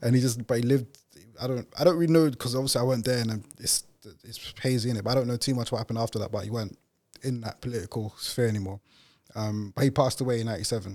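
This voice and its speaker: Talking at a very fast pace, a man with a London accent speaks at a medium pitch with fairly even intonation. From East London, England. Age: 30s. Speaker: podcast founder and host. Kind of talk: interview. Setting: studio.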